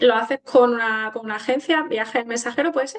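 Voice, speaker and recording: A woman with an ordinary speaking voice talks at a fairly high pitch, her pitch variation ordinary. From Granada, Andalusia, Spain. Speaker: interviewer, podcast host. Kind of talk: casual interview chat.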